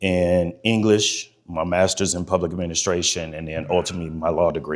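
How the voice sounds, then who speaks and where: An American accent at a moderate pace with fairly even intonation, in a very clean recording with a silent background. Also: man. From US Midwest, East Cleveland, Ohio. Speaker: speaker, lawyer and war veteran. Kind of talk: speech to an audience. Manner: loud.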